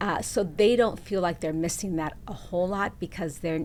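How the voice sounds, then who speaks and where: A woman with a fairly low pitch and ordinary pitch variation talks with vocal fry. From Southeast Los Angeles. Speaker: corporate employee, panelist. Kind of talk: casual panel discussion.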